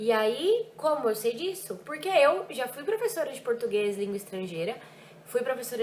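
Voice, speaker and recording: Lively intonation at a moderate pace. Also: woman. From Brazil, Ribeirão Preto (São Paulo state). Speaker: French teacher. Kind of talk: vlog reflection. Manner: animated.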